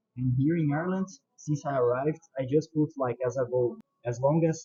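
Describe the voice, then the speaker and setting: With a Portuguese accent, a man talks at a moderate pace in a somewhat breathy, medium-pitched voice with ordinary pitch variation. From Brazil. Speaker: car enthusiast and YouTuber. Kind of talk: casual video introduction.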